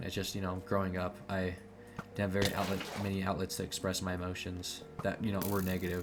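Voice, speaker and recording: Music plays in the background as a man talks. His pitch is fairly low and his pace fairly quick. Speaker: video diarist. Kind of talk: personal vlog monologue. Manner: halting, many fillers and repetitions.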